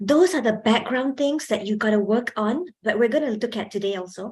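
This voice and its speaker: This woman talks at a fairly quick pace with a fairly high pitch and a somewhat breathy quality. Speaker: communication skills trainer. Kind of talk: workshop lecture. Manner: projects more when lecturing.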